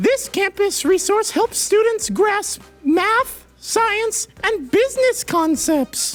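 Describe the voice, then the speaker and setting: In a cartoonish character voice of extremely high pitch, the speaker goes at a very slow pace with hardly any pauses and an upbeat, playful tone, faint music playing in the background. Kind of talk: game show host. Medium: puppet.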